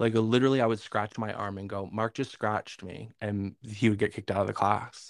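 A man with an ordinary speaking voice, fairly low pitch, fairly even intonation, a fairly quick pace and hardly any pauses, on a very clean recording with a silent background and a dry, close sound with no echo. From Northern New York. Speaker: podcast co-host. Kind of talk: casual chat.

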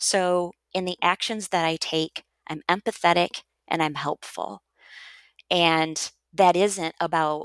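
An American-accented woman with an unremarkable speaking voice talks at a fairly low pitch with fairly even intonation. The sound is dry and close with no echo, in a very clean recording with a silent background. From US Midwest. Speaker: educator and author. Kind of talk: interview conversation.

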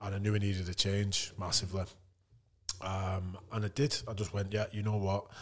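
Speaking with a northern English accent, a man with a fairly low, somewhat breathy voice talks at a moderate pace in a monotone, flat intonation. The recording is very clean, with a silent background. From northern England. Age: 30s. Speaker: retired rugby league player. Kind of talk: casual chat.

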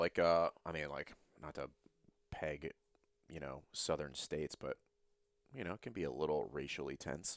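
A man speaks at a moderate pace with vocal fry. The sound is dry and close, with no echo. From Louisiana. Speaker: podcast host and fitness coach. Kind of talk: casual chat.

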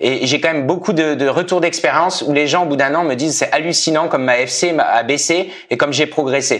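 A fairly high-pitched man with fairly even intonation, with noticeable background noise. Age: 30s. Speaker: amateur marathon runner. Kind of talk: podcast interview.

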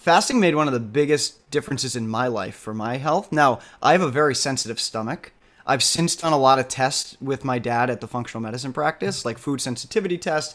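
A man's normal speaking voice, medium in pitch, with ordinary pitch variation and a fairly quick pace. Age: 30s. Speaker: startup CEO. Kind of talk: casual interview.

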